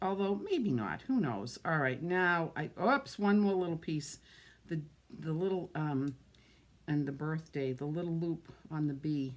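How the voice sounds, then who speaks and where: With an American accent, a woman with a very deep, low pitch talks at a fairly slow pace, her intonation lively. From Massachusetts. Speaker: card-making crafter. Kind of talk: live crafting demonstration. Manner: casual, chatty.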